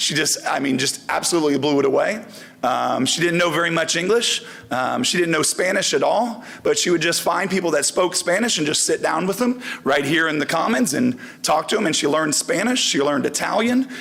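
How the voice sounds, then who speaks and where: Over noticeable background noise, a man talks at a fairly quick pace in a high pitch, with lively intonation and very even loudness. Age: 40s. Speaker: volleyball coach. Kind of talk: award ceremony speech.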